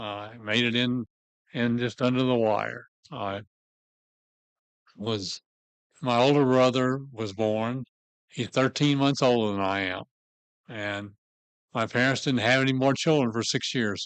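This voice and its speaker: Speaking fairly slowly with long, frequent pauses, a man with a Southern US accent keeps a medium pitch and fairly even intonation. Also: dry, close sound with no echo. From US South, Memphis, Tennessee. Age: 70s. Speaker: church member telling life story. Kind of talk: personal life story talk.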